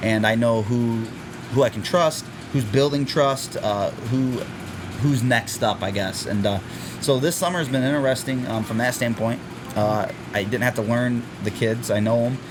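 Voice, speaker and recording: A man with long, frequent pauses and noticeable background noise. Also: medium pitch for a man, ordinary pitch variation, moderate pace. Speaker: high school football head coach. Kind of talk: interview. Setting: school athletic facility. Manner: loud.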